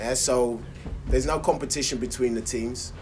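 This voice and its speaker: Noticeable background noise fills the clip. A man speaks at a fairly quick pace. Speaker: football player, team coach-like veteran. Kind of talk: casual banter, football podcast.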